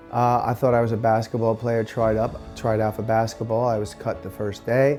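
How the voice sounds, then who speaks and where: With music in the background, a man speaks at a medium pitch with fairly even intonation. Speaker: pole vault athlete and coach. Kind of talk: interview answer.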